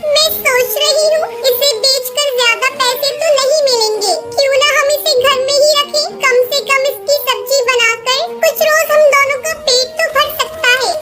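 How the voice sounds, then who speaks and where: A woman uses a cartoonish character voice at an extremely high pitch and a moderate pace, with clear music in the background. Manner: earnest, emotional.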